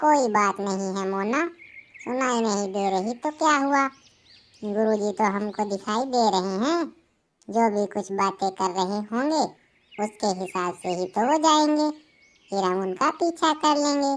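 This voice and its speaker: In a cartoonish character voice, the speaker talks at a fairly slow pace with lively intonation. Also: woman, medium pitch for a woman. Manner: trusting, agreeable.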